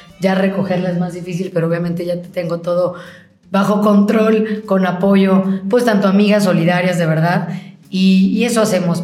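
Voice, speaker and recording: With music in the background and audible room echo, a woman speaks at medium pitch. Her pace is moderate and her intonation is flat and monotone. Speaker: politician, gubernatorial candidate. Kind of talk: interview.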